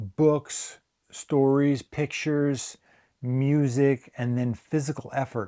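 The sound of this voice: A man's dark, mellow tone at medium pitch, with ordinary pitch variation and a very slow pace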